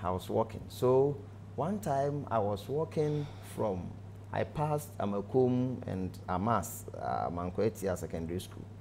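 This man's voice is fairly low in pitch, with a dark, mellow tone and a somewhat breathy quality. He speaks at a fairly slow pace over light background noise. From Ghana, Ashanti region; Ghana. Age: 40s. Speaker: pastor. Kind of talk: testimony; interview answer, personal testimony. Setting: studio. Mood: earnest, emotional recollection. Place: studio. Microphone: lapel.

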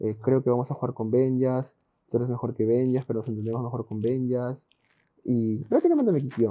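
Over a quiet background, a man talks fairly quickly in a flat monotone. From Peru, Lima; Peru. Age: 20s. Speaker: professional esports player; podcast guest. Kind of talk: interview. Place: home room.

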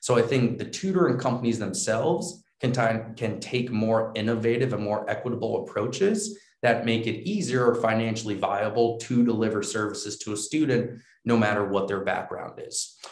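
A man speaks in an American accent, his voice somewhat breathy, with ordinary pitch variation and hardly any pauses. Audible room echo surrounds him against a quiet background. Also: moderate pace. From US Northeast, New York; US Northeast. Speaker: edtech company founder and CEO; guest. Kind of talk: interview. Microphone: video call.

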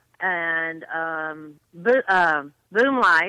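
A woman's fairly low voice in an American accent, bright and sharp in tone. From US South. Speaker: country music fan. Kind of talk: casual chat.

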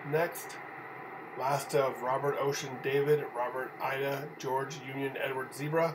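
Against noticeable background noise, a man with a fairly high voice talks in a monotone, flat way. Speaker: 911 dispatch trainer. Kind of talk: dictation of names and dates using phonetic alphabet, radio dispatch style. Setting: recorded tutorial for typing practice. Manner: even, clipped, steady reading pace.

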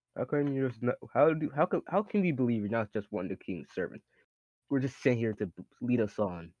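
A man talks at a very fast pace over a quiet background. The sound is dry, with no echo. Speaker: tabletop game player. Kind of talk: casual roleplay banter. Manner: animated. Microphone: video call.

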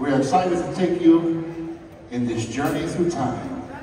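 A man speaks at a very slow pace. There is audible room echo and light background noise. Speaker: student announcer at songfest. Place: hall.

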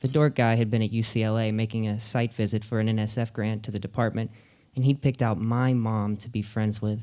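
The clip has an unforced reading voice with fairly even intonation.

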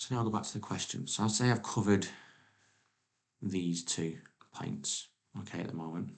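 A soft-spoken man with a very deep, low voice, ordinary pitch variation, a moderate pace and long, frequent pauses, against a quiet background. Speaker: teacher. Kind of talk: exam tutorial narration. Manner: quiet, soft-spoken. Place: home room.

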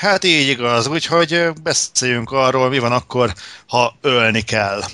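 A man speaks. His tone is bright and sharp. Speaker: podcast host. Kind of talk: casual chat.

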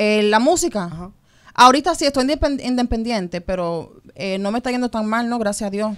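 Over a quiet background, a woman speaks at a fairly quick pace with lively intonation. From New York. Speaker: model and singer; interview guest. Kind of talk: radio interview; interview answer. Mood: relaxed, candid. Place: studio. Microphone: studio mic.

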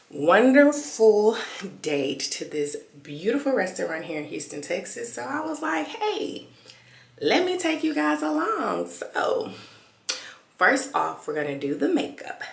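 A woman's voice in audible room echo, broken by long, frequent pauses. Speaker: vlogger. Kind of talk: casual vlog chat. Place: home room. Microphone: phone near.

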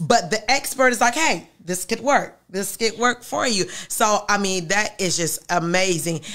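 Her bright, sharp tone and lively intonation carry a woman's fairly slow delivery, with hardly any pauses against a quiet background. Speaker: pastor and show host; pastor, show host. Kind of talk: interview. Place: studio. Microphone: studio mic.

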